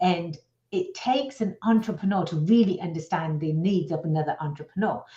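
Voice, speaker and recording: With an American accent, a woman speaks at a fairly quick pace and medium pitch. Her tone is dark and mellow, and somewhat breathy. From outside the US. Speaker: business attorney. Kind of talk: radio interview. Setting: radio show.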